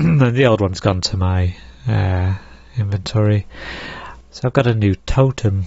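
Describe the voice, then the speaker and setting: A man's fairly low, somewhat breathy voice moves with lively intonation. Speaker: gaming streamer. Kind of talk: casual livestream commentary. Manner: relaxed, explanatory.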